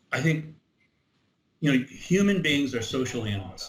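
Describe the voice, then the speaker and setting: Over audible room echo, a man with an American accent talks at a fairly slow pace, somewhat breathy, with lively intonation. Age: 70s. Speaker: Civil War reenactment organizer. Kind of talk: interview. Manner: halting.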